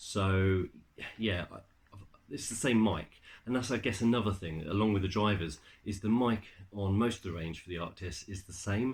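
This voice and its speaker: With a British accent, a man mumbles at a moderate pace in a fairly low pitch, his loudness swinging widely, his pitch varying in an ordinary way, and his pauses long and frequent. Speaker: tech reviewer. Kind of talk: product review. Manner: mumbling; halting, many fillers.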